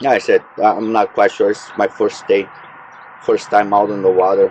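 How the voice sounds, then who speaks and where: Mumbling at a moderate pace, a man speaks over noticeable background noise. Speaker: fishing vlogger. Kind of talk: casual vlog narration. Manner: hesitant, many fillers.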